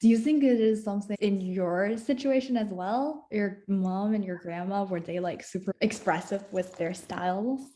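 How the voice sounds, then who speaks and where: A woman with a dark, mellow tone and a medium pitch talks at a moderate pace with hardly any pauses. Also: ordinary pitch variation. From China. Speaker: graduate student interviewer. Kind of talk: interview.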